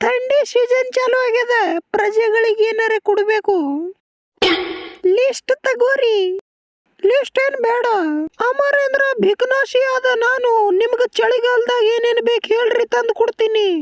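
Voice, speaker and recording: Extremely high-pitched, a put-on character voice drags along at a very slow pace. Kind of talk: comic dubbing spoof. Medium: fan dub. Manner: rustic, sarcastic.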